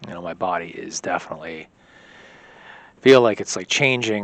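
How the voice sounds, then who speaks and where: Pitch varies in an ordinary way as a man speaks. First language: Polish. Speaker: vlogger in recovery. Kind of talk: personal video diary. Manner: halting.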